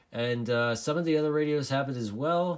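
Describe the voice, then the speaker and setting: On a very clean recording with a silent background, a man speaks in a medium pitch with lively intonation, a plain, everyday voice. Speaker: CB radio hobbyist reviewer. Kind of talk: tutorial. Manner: casual, filler-heavy.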